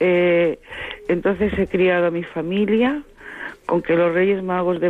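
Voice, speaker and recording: A woman with a fairly low voice speaks at a fairly slow pace with ordinary pitch variation, and background noise is noticeable. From Seville, Andalusia, Spain. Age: 50s. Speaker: radio listener caller. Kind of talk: phone-in call. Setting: phone call.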